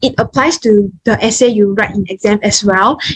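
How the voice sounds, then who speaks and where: Somewhat breathy, this woman's voice comes through. Her pitch is fairly high. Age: young. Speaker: nursing student. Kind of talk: online talk presentation.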